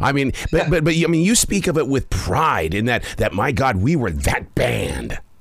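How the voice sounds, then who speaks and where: Over noticeable background noise, a man with an American accent talks at a moderate pace in an animated tone, with a fairly high pitch, very wide pitch swings, very even loudness, and hardly any pauses. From Montana, US. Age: 60s. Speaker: podcast host. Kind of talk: interview.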